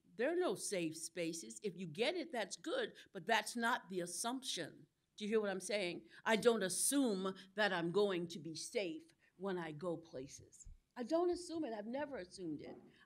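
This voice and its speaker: Delivered at a moderate pace, the speech has very wide pitch swings and big swings in loudness. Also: woman, medium pitch for a woman. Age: 60s. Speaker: clergy member. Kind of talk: panel discussion. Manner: impassioned.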